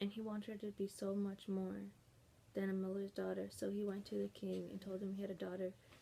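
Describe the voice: The voice is doing plain reading aloud. It is plain reading aloud throughout.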